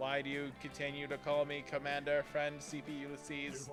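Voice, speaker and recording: A man uses a put-on character voice with a fairly high pitch at a moderate pace. Loud music plays in the background. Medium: game stream. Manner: formal, literal, flat.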